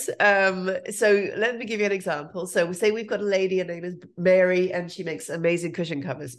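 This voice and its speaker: A woman puts on a hoarse character voice at a medium pitch. She talks at a fairly quick pace with hardly any pauses. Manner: carefully enunciating.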